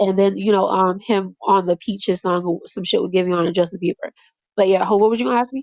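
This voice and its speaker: In a dry, close recording with no echo, a woman speaks very fast in an animated tone at medium pitch. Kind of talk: casual chat.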